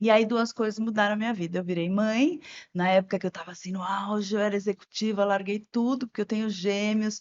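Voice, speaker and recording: A woman talks in a normal speaking voice at a medium pitch. Her pace is fairly quick, her intonation fairly even. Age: 60s. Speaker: journalist and environmentalist. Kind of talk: interview podcast.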